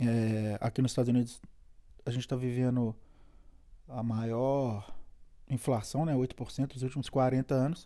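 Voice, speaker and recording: With a Brazilian accent, a man talks at a fairly slow pace and a medium pitch, his tone dark and mellow, his intonation fairly even, and his pauses long and frequent. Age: 40s. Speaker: immigrant podcaster. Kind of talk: solo podcast monologue. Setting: at home. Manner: casual, hesitant with fillers.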